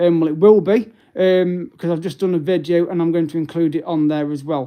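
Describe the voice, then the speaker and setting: Fairly quick and with fairly even intonation, a man with a British accent speaks at a high pitch. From English Midlands, Derby. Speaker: travel and sightseeing YouTuber. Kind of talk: live stream update. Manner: hesitant, many fillers.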